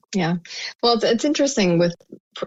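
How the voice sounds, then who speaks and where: With ordinary pitch variation, a woman speaks in an American accent. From US, Cuban American family. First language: Spanish. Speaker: marketing expert. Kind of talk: podcast interview.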